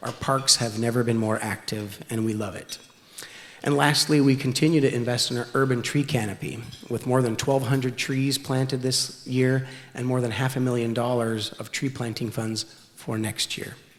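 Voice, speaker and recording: A man speaks at a medium pitch with fairly even intonation. Noticeable background noise runs underneath. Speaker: city official. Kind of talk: speech. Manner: fast.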